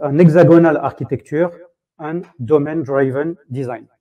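In a French accent, a man speaks in a fairly high voice with ordinary pitch variation against a quiet background. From France. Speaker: software tech lead. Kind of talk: conference talk. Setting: stage with audience. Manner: halting.

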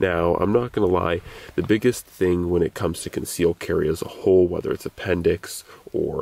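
The man's delivery has a moderate pace and a dry sound with no echo. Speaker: gear reviewer. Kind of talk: casual vlog chat. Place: open country.

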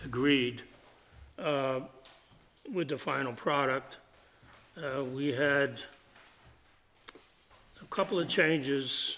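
A man talks at a very slow pace with long, frequent pauses. Light background noise can be heard. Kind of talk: meeting chair remarks. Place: meeting room. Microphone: podium.

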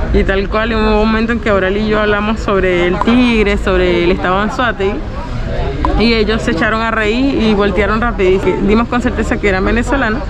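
A woman talks at a fairly quick pace with clear music playing in the background. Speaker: vlogger. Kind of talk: casual vlog chat. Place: street. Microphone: phone near.

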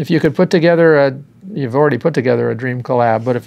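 The speaker is a man. He delivers his words very fast, and his pitch shifts in a normal way. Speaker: drum show host. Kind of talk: interview. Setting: studio. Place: studio. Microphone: lapel.

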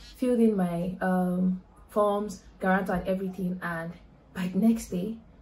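Over light background noise, a woman's voice comes through somewhat breathy, with a dark, mellow tone. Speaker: vlogger. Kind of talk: casual vlog chat. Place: home room. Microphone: phone near.

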